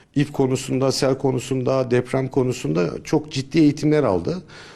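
The speaker is a man at medium pitch with a dark, mellow tone. He goes at a moderate pace. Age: 50s. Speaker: search and rescue volunteer leader. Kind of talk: interview testimony. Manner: hesitant, with filler sounds.

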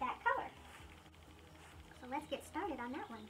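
Music plays in the background as a woman speaks. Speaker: furniture painting DIYer. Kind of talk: casual DIY tutorial talk. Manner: casual, loose, slightly salty. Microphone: phone near.

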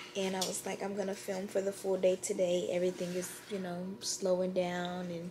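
This is a woman speaking. Noticeable background noise can be heard. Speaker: vlogger. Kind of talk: casual vlog chat. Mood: cheerful, relaxed. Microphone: phone near.

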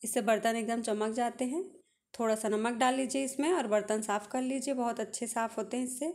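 Ordinary pitch variation from a woman speaking at a moderate pace. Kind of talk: tutorial. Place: kitchen.

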